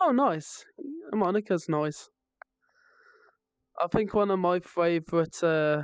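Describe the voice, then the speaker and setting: A woman with a fairly low pitch speaks at a fairly slow pace, leaving long, frequent pauses and keeping her loudness very even. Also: ordinary pitch variation. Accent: West Midlands. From West Midlands, England. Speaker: streamer. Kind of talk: casual live stream chat.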